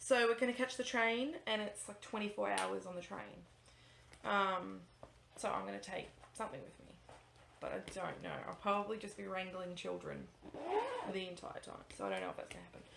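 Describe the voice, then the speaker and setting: A woman with an Australian accent at a fairly quick pace, with long, frequent pauses, audible room echo and noticeable background noise. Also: big swings in loudness. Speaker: cross-stitch vlogger. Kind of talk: casual vlog chat. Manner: fast; animated.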